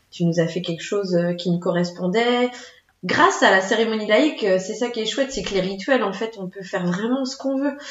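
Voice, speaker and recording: Speaking at a fairly quick pace, a woman has an unremarkable speaking voice at medium pitch. Her intonation is lively. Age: 30s. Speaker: children's entertainment business owner. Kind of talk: casual interview.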